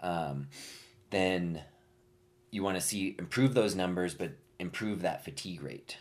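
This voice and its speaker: A man with an American accent speaks at a fairly slow pace with long, frequent pauses. His very deep, low voice shows ordinary pitch variation. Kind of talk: casual chat. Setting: studio.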